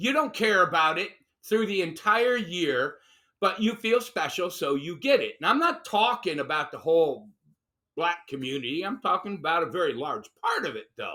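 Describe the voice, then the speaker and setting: Raised and projected, a man's high voice with an American accent has a bright, sharp, animated tone and very wide pitch swings at a moderate pace, on a very clean recording with a silent background. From Chicago, US Midwest. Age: 60s. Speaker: political commentator. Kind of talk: opinion chat.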